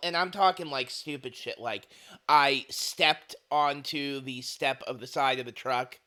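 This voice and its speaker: A man's raspy, put-on character voice, fairly high in pitch, at a moderate pace. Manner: laughing while speaking.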